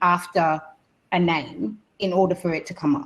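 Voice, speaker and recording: A woman with an Australian accent, medium-pitched and somewhat breathy, with ordinary pitch variation and a moderate pace. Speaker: radio presenter and panelist. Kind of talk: webinar panel discussion. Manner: casual, halting with many fillers.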